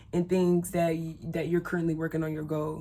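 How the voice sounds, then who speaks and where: This woman's voice is fairly low in pitch. The recording is very clean, with a silent background. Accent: Southern US. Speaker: spiritual content creator. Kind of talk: casual talk-to-camera tutorial. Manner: casual, conversational with fillers.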